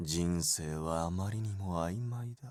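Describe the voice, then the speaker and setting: Quiet and resonant, a man uses a put-on character voice with a calm, menacing tone at a fairly slow pace, on a very clean recording with a silent background. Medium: video game. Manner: calm, quietly menacing.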